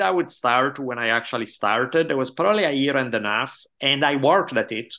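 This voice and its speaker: Fairly quick delivery and lively intonation come through against a quiet background. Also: man. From Italy. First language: Italian. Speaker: history professor and podcaster. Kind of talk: casual interview conversation.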